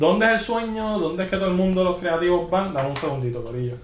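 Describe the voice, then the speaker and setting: A man speaks with ordinary pitch variation. Noticeable background noise and audible room echo fill the recording. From Puerto Rico, rural Juncos/Canóvanas. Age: 30s. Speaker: photographer. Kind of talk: casual chat. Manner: animated.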